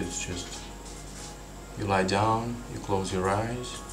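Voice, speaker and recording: A man speaks with a non-native accent and ordinary pitch variation. Music plays in the background, and the room echoes audibly. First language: not English. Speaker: vlogger. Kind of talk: free-flowing personal monologue. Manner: halting, with frequent repetitions.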